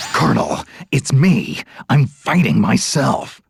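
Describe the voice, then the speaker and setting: Putting on a character voice, a man speaks fairly slowly at a medium pitch. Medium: video game. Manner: gruff, dry, sarcastic.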